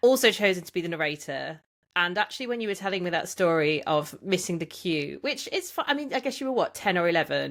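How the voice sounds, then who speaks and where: In a very clean recording with a silent background, a woman speaks with a West Midlands accent at a fairly low pitch. Her delivery is very fast, with lively intonation. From English Midlands (Tamworth). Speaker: podcast host. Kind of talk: casual interview.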